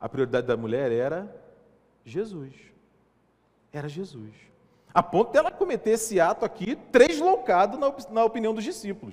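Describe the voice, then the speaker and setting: A man with a high voice speaks at a moderate pace, his loudness rising and falling sharply, his pitch swinging very widely, and long pauses coming often. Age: 30s. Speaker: pastor. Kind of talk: sermon.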